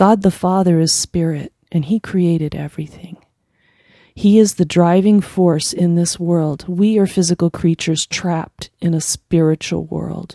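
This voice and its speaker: The voice, dark and mellow with an American accent, moves at a fairly slow pace with fairly even intonation in a dry, close sound with no echo. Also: woman, fairly low pitch for a woman. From United States. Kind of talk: devotional talk with scripture reading.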